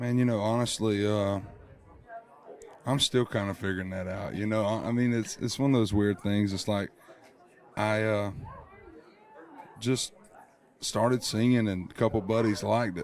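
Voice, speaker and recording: A man with an American accent speaks at a moderate pace in a fairly low, flat monotone. He leaves long, frequent pauses while crowd noise carries in the background. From Georgia, USA. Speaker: country singer. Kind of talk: interview answer. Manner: casual, relaxed.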